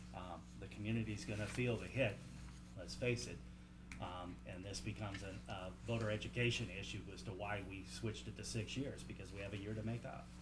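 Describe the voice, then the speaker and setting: Amid audible room echo and noticeable background noise, a man with a very deep, low pitch talks at a fairly quick pace with very wide pitch swings. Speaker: school board member. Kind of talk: board meeting discussion.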